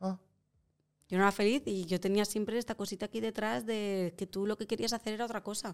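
Talking very fast, a woman keeps a medium pitch and fairly even intonation. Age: 30s. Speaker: actress. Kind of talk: casual chat.

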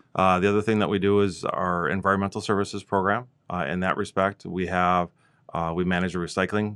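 A man with an Upper Midwest accent and a very deep, low pitch, talking at a very fast pace in a monotone, flat intonation against a quiet background. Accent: Upper Midwest (Minnesota). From Minnesota. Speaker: regional planning director. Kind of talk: interview. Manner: hesitant with fillers.

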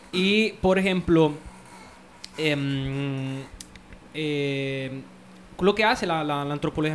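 Over noticeable background noise, a man with an Italian accent speaks very slowly, using ordinary pitch variation. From Italy. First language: Italian (speaking Spanish). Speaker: anthropologist. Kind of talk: casual chat. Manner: halting.

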